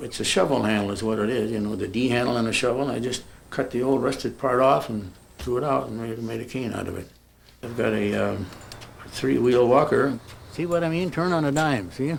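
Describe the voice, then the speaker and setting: The voice moves at a fairly quick pace with ordinary pitch variation, and room echo is audible. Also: man, medium pitch for a man. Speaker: retired man interviewed about aids. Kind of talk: documentary interview.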